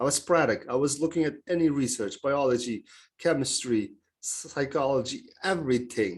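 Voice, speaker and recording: Here a man speaks with a Turkish accent. His pitch is fairly high, against a quiet background. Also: ordinary pitch variation, moderate pace. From Turkey. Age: 30s. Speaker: mindset coach. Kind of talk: podcast interview. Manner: hesitant, many fillers.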